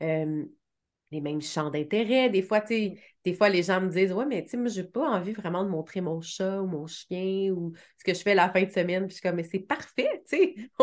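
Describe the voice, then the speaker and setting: A woman at a medium pitch and moderate pace, with ordinary pitch variation, over a quiet background. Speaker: web marketing strategist, agency founder. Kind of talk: interview conversation.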